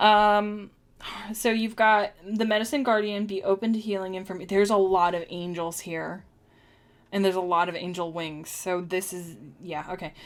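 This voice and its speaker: At a moderate pace, a woman with a normal speaking voice talks in a medium pitch with fairly even intonation. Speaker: tarot and oracle card reader. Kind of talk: live-streamed oracle card reading. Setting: live stream. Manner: casual, chatty with many fillers.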